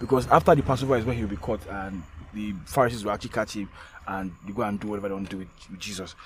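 Somewhat breathy, a man speaks at a very fast pace with lively intonation. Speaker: podcast co-host. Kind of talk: casual chat.

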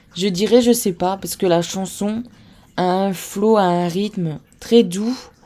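A woman speaks very slowly in a northern French accent. Her pitch is medium and her intonation fairly even. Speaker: K-pop podcast host. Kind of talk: solo podcast monologue. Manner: hesitant, many fillers.

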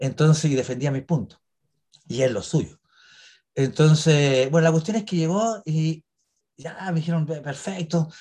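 Fairly high-pitched and dark, mellow in tone, a man speaks fairly slowly with ordinary pitch variation and long, frequent pauses. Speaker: actor and cemetery tour guide. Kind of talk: interview. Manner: halting.

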